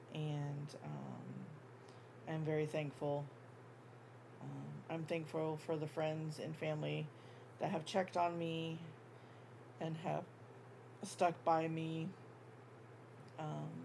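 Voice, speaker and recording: In a room with audible echo, a woman with a dark, mellow tone and a very deep, low pitch speaks at a very slow pace in a monotone, flat delivery, somewhat breathy and with long, frequent pauses. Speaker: crochet YouTuber. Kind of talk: casual chat. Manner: filler-heavy, um.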